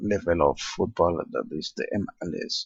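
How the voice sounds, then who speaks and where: A man speaks at a very slow pace with a Spanish accent. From Spain. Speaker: video game let's play creator. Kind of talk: gameplay commentary. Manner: halting.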